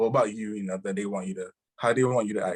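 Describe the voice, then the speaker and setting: A man with an unremarkable speaking voice talks at a fairly quick pace and a fairly low pitch, with ordinary pitch variation, in a dry, close sound with no echo. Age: 30s. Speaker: rapper and independent artist. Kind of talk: casual chat.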